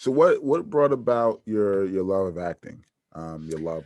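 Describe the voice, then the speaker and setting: The speaker has an American accent and very wide pitch swings. The pace is moderate against a quiet background. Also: man. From New Jersey, US. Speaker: podcast host. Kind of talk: interview.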